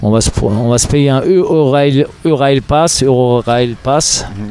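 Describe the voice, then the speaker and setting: Noticeable background noise sits behind a man's voice. His medium pitch carries ordinary pitch variation. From Germany, West Berlin. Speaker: drummer and percussionist. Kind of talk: interview conversation.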